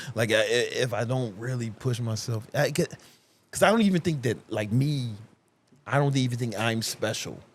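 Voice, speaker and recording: A man with an American accent speaks at a moderate pace and medium pitch. His voice is somewhat breathy, with ordinary pitch variation. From Chicago South Side, US. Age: 40s. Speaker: fitness entrepreneur and coach. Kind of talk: casual interview conversation. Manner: halting, many restarts and repetitions.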